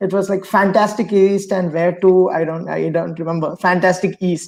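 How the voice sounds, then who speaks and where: With a non-native accent, the voice moves along at a moderate pace. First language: not English. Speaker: webinar host. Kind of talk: interview. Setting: live video stream.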